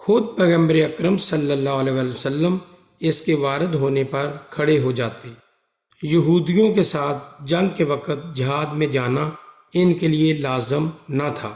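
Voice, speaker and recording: Pitch variation here is ordinary. It is a normal speaking voice. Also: man, fairly high pitch for a man. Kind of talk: religious story narration.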